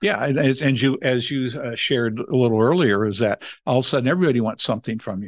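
A man with a Californian accent talks at a very fast pace. His pitch is medium, with ordinary variation, over a quiet background. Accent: General American (Californian). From Los Angeles, US West Coast. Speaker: family foundation head, former pastor. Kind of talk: interview conversation.

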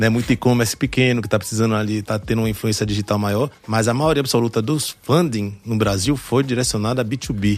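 A man speaks in a normal speaking voice at medium pitch with fairly even intonation. His pace is fairly quick, with hardly any pauses. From born in France, childhood in New York, moved to Brazil at 11. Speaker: startup founder and investor. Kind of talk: casual podcast interview.

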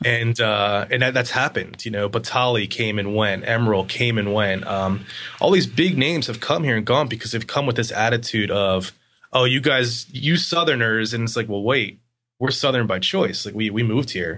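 A man's ordinary speaking voice in an American accent, medium pitch, ordinary pitch variation, and a moderate pace. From Pennsylvania (York). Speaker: design agency founder. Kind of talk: interview. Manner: casual, laughs often.

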